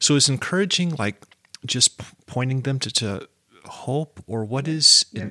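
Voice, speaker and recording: At a fairly slow pace, a man speaks in a normal speaking voice with a medium pitch. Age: 50s. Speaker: podcast host. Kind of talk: casual interview.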